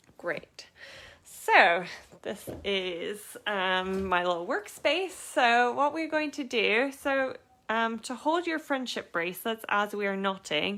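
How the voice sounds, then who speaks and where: This woman speaks very slowly in a bright, sharp tone, with fairly high pitch and very wide pitch swings. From Canada. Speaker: craft workshop teacher and small business owner. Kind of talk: live online craft tutorial. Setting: live stream from home studio, laptop beside. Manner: casual, hesitant with frequent fillers.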